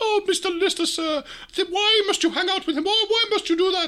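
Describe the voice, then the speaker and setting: A woman's put-on character voice, squeaky and extremely high, at a moderate pace. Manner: fussy, whining, servile.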